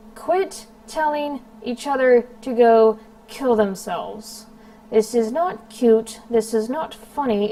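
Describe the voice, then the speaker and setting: A woman's fairly high voice at a very slow pace, with lively intonation over noticeable background noise. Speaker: commentary YouTuber. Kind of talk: vlog monologue. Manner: hesitant, many ums.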